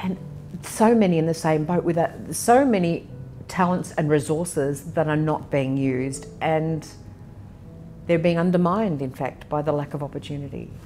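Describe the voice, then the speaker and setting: A woman with an Australian accent speaks at a moderate pace with a very deep, low pitch and ordinary pitch variation amid noticeable background noise. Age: 60s. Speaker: interviewee on aging and poverty. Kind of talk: personal testimony interview.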